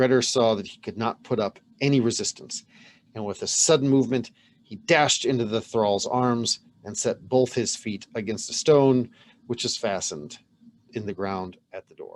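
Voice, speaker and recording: A man with a plain, everyday voice speaks at a moderate pace and a medium pitch. His pitch varies in an ordinary way, while his loudness swings widely. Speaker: channel host reading a medieval saga aloud. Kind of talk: saga reading, storytelling narration.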